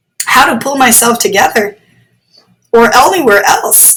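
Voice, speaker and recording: A woman uses a put-on character voice pitched high, speaking at a moderate pace. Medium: read story. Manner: moody, lamenting.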